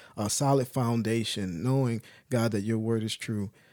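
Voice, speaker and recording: The recording is very clean with a silent background. A man with a dark, mellow tone talks at medium pitch with fairly even intonation. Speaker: podcast co-host.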